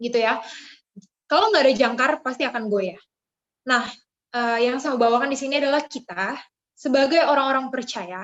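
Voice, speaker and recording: A woman with a strong Jakarta accent speaks at a high pitch with ordinary pitch variation and long, frequent pauses. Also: moderate pace. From Jakarta, Indonesia. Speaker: youth speaker. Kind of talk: devotional talk. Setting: video call. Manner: casual with fillers.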